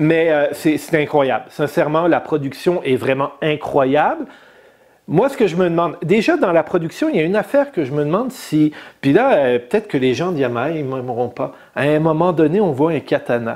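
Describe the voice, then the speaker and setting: A man with a plain, everyday voice talks at a moderate pace. His pitch is fairly high, with ordinary pitch variation. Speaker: motorcycle podcast host. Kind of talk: casual chat. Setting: studio.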